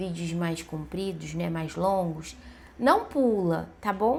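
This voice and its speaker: A woman's somewhat breathy voice at medium pitch with ordinary pitch variation, fairly slow in pace, with audible room echo. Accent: Brazilian. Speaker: vlogger. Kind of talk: casual vlog monologue. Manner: conversational, many fillers and hesitations.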